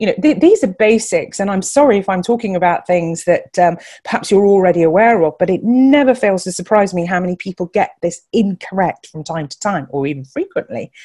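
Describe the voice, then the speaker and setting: With a dark, mellow tone and lively intonation, a woman talks at a fairly quick pace with hardly any pauses. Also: medium pitch for a woman. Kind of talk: webinar talk. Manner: fast.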